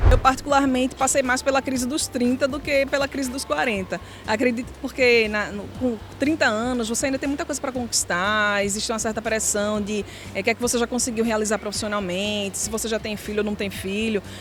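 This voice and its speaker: At a fairly quick pace, a woman speaks in a fairly high pitch with ordinary pitch variation amid noticeable background noise. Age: 40s. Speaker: interviewee. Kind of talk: street interview.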